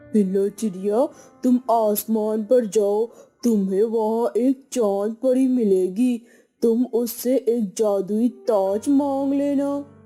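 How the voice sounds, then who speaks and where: Faint music plays behind a cartoonish character voice, female-sounding and fairly high-pitched, delivered at a very slow pace. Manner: gentle, helpful.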